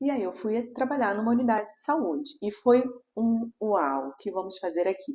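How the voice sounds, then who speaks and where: A woman with a Carioca accent speaks at a moderate pace in a dark, mellow tone, her fairly high pitch carried by lively intonation. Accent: Carioca accent, noticeable. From Rio de Janeiro, Brazil. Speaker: pelvic physiotherapist. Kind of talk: interview. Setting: studio, in person.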